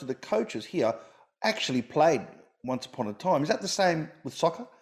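Talking at a very fast pace with an Australian accent, a man uses a fairly high pitch and very wide pitch swings. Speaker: comedian podcast host. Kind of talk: interview.

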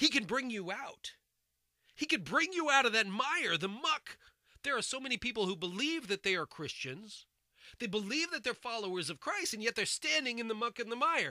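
An animated man's raised, projected voice with an American accent, extremely high-pitched with very wide pitch swings, dry and close with no echo. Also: moderate pace. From United States. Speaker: bible teacher. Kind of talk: sermon.

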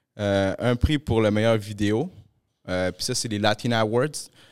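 Moderately paced male speech at a medium pitch, its pitch varying in an ordinary way. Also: very clean recording, silent background. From Montreal, Quebec (grew up in Pointe-aux-Trembles, from Peru). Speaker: podcast host. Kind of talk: casual chat.

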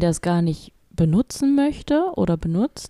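Very slow and lively in intonation, a woman speaks in a dark, mellow tone, the sound dry and close with no echo. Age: 30s. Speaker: podcast co-host, freight forwarding clerk and mother. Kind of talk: casual chat.

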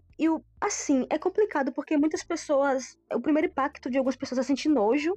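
A woman's voice, dry and close with no echo, over background music. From southern Bahia, Brazil (Pau Brasil). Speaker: vegan food business owner. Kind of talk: casual chat.

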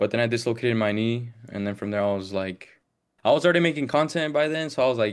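A man speaks very fast in an American accent. The recording is very clean, with a silent background. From Las Vegas, US. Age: 20s. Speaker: football podcaster and content creator. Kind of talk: casual chat.

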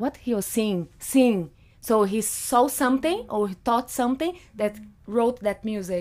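A woman speaks in a fairly high voice with ordinary pitch variation. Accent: Brazilian Portuguese. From Brazil. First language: Portuguese. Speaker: photographer and artist. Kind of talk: casual interview. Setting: studio. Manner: animated.

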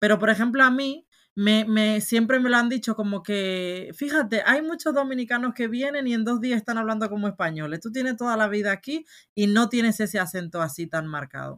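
Against a very clean, silent background, a woman speaks with fairly high pitch and lively intonation. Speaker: podcast co-host. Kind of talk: casual chat.

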